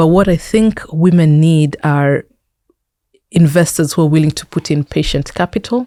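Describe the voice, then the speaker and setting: With a Kenyan accent, a woman talks at a moderate pace in a very deep, low pitch and a dark, mellow tone, with ordinary pitch variation and a dry, close sound with no echo. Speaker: technology entrepreneur and investor. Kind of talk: interview conversation.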